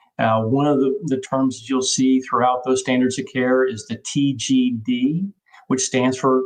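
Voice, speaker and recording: Speaking at a fairly slow pace, the man has a normal speaking voice with medium pitch. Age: 60s. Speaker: physician presenting on transgender care. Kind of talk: webinar presentation.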